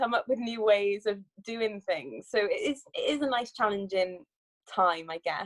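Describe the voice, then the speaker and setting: A woman speaks with a Cardiff accent. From Wales, Cardiff. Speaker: sprinter and Olympic bobsledder. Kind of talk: interview.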